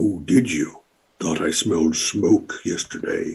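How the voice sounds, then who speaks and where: Speaking fairly slowly, a man does a put-on character voice. The voice is raspy. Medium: actual play. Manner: officious, formal.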